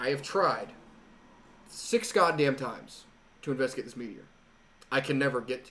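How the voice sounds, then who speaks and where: At a moderate pace, a man speaks at a fairly high pitch with ordinary pitch variation, big swings in loudness and long, frequent pauses. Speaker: podcast host. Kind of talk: casual chat.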